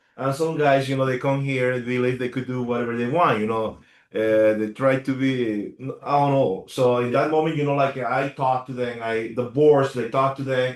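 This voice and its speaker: A man talks at a moderate pace and medium pitch. His intonation is monotone and flat, over a quiet background. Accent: Spanish. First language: Spanish. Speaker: HOA attorney. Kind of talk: Q&A in a community meeting. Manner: halting, many fillers.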